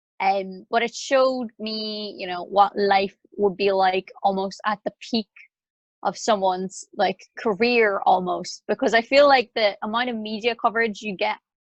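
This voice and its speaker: A woman with a Northern Irish accent talks at a fairly slow pace in a fairly high pitch. Her intonation stays fairly even, and the sound is dry and close with no echo. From Northern Ireland. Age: 20s. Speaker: singer-songwriter. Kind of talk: interview conversation.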